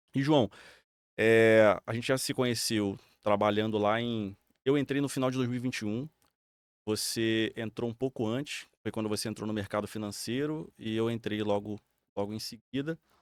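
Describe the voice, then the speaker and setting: A man talks at a moderate pace with fairly even intonation and a normal speaking voice. The recording is very clean, with a silent background. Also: medium pitch for a man, dry, close sound with no echo. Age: 30s. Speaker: podcast co-host. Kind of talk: casual chat.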